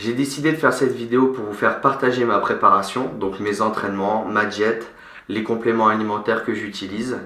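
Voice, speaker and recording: Moderately paced speech from a man with a fairly low pitch and fairly even intonation, with audible room echo and noticeable background noise. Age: 20s. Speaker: fitness coach and bodybuilding competitor. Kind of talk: vlog introduction.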